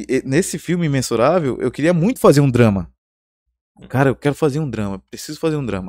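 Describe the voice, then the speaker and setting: Against a silent background in a very clean recording, a man speaks at a very fast pace. His pitch is fairly high and his intonation lively. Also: dry, close sound with no echo. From Porto Velho, Rondônia, Brazil. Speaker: screenwriter and filmmaker. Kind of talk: casual interview chat.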